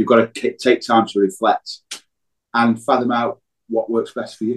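A man at a medium pitch is heard in a dry, close sound with no echo. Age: 50s. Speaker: business owner. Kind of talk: casual chat.

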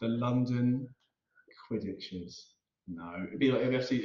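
The man has a normal speaking voice at medium pitch, moving at a moderate pace with ordinary pitch variation. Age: 30s. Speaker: podcast co-host. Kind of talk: casual chat.

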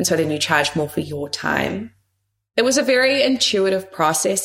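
A woman talks with a fairly low pitch and lively intonation. Vocal fry runs through her voice. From New Zealand. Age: 30s. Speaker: founder and career coach. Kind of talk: interview chat.

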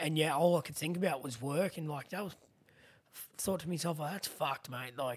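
With ordinary pitch variation, a man talks in an Australian accent. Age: 30s. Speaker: podcast host with spinal cord injury. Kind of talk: casual chat. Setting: studio.

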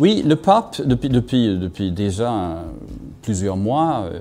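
A man speaks with a Swedish accent at a fairly low pitch. His intonation is lively. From Sweden. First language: Swedish (speaking French). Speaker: journalist and essayist. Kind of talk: interview analysis. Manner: halting, many repetitions and hesitations.

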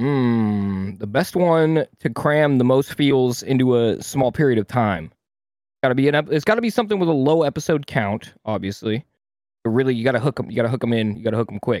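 Lively in intonation, an unremarkable speaking voice goes along at a fairly quick pace. There is a very clean recording with a silent background. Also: man, medium pitch for a man. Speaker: streamer. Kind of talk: casual chat.

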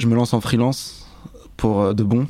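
A man with a dark, mellow tone speaks at a moderate pace in a medium pitch, his intonation flat and monotone. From Paris suburbs, France. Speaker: music video director. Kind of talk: casual chat.

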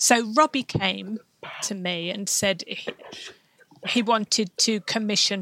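A woman's bright, sharp tone at medium pitch with ordinary pitch variation, dry and close with no echo. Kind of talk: interview. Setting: remote recording with sign language interpreters.

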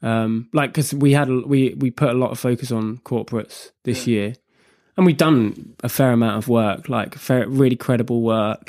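A man with a British accent, medium pitch and fairly even intonation, at a moderate pace, in a very clean recording with a silent background. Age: 20s. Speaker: co-founder of a men's mental health social initiative. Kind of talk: interview. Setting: studio.

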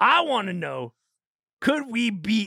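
A man uses a raised, projected voice with a bright, sharp tone at a fairly slow pace, in a dry, close sound with no echo. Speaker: podcast host. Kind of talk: comedic casual chat. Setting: studio. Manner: animated.

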